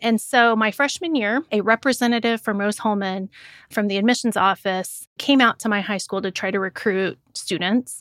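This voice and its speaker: In a Midwestern American accent, a woman with a fairly high pitch speaks with ordinary pitch variation, the sound dry and close with no echo. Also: moderate pace, very clean recording, silent background. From rural Indiana, US Midwest. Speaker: engineering professor. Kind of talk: interview.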